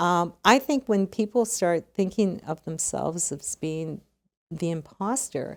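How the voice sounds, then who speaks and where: With a Canadian accent, a plain, everyday voice speaks with ordinary pitch variation. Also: woman. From Canada. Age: 60s. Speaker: retired legal executive. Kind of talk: podcast interview.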